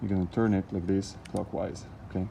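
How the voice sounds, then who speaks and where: A man with a non-native accent and fairly even intonation. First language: not English. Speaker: DIY car repair vlogger. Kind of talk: tutorial. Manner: halting; hurried.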